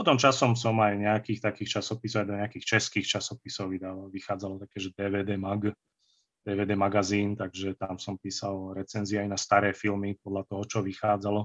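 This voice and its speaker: A man talks at a fairly low pitch. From central Slovakia, Banská Štiavnica area. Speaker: fantasy and historical novelist. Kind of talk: casual interview, nostalgic storytelling.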